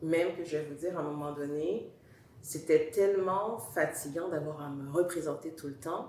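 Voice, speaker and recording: With a Montreal accent, a woman speaks at a moderate pace in a very deep, low voice, her intonation fairly even but her loudness swinging widely, with audible room echo. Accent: Montreal Quebec French. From Montreal, Quebec. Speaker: talk show guest. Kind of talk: interview testimony. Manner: hesitant, with fillers.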